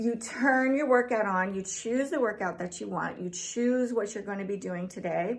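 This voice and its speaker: A woman with an unremarkable speaking voice, fairly high in pitch, with ordinary pitch variation and a moderate pace. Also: hardly any pauses. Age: 50s. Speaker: fitness vlogger. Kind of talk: product review. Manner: casual, filler-heavy.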